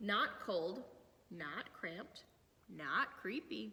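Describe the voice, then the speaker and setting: In a squeaky, put-on character voice, the speaker drags along at a very slow pace. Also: woman, medium pitch for a woman. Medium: read story.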